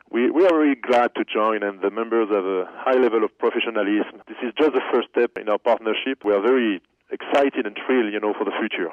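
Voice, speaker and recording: This man speaks very fast with a French accent, hardly pausing at all. His pitch is medium, with ordinary variation. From France. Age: 30s. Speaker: company executive. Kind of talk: interview.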